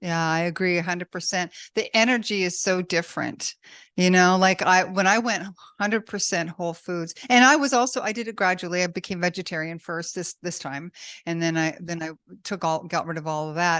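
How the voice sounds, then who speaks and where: A woman with an unremarkable speaking voice talks at a fairly low pitch and a fairly quick pace, with ordinary pitch variation. The background is quiet. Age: 60s. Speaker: podcast host and author. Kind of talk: interview.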